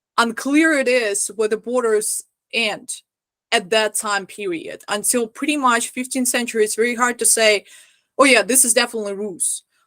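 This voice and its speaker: A woman speaks at a moderate pace with a non-native accent, her fairly high voice bright and sharp in tone and her intonation fairly even. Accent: foreign. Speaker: historical costume lecturer. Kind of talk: lecture.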